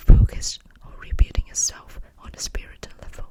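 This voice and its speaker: Someone whispers in a gentle tone at a moderate pace against noticeable background noise. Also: woman. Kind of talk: ASMR whispered tarot reading, role play. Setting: close-mic studio ASMR. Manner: whispered, soft, gentle.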